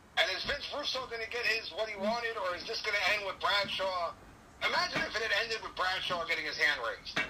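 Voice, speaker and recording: Speaking at a very fast pace, a high-pitched man uses lively intonation while noticeable background noise carries on. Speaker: guest, co-host and wrestling fan. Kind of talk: casual wrestling commentary, opinionated recap and analysis of the fights. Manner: animated, opinionated, jokey and sarcastic.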